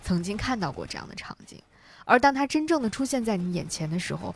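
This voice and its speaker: Somewhat breathy, a woman speaks with lively intonation on a very clean recording with a silent background. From northern China, Hebei. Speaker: podcast host. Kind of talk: scripted narration.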